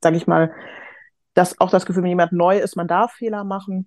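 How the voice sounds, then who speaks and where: In a flat monotone, a woman speaks with a fairly low pitch. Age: 30s. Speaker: HR professional, course participant. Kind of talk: casual interview.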